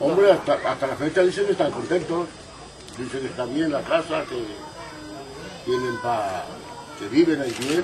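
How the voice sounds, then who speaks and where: A man with a fairly high voice talks at a moderate pace, his intonation lively. He leaves long, frequent pauses while crowd noise carries in the background. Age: 70s. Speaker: settlement resident. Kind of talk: street interview. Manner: halting.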